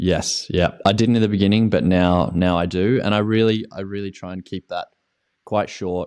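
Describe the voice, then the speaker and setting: A man with an Australian accent talks at a moderate pace in a fairly low voice. His intonation stays fairly even while his loudness swings widely. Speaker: ski coach. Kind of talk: interview. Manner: halting.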